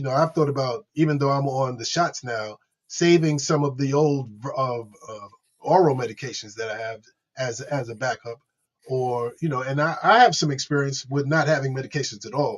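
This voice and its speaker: Here a man with fairly high pitch talks at a moderate pace with ordinary pitch variation. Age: 60s. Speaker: podcast host living with HIV. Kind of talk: interview. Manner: halting.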